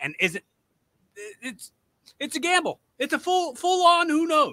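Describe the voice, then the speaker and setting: The tone is bright and sharp, with a raised, projected voice. The sound is dry with no echo, over a quiet background. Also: man. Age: 30s. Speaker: podcast host and amateur pro wrestler. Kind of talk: casual interview chat. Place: home room. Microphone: studio mic.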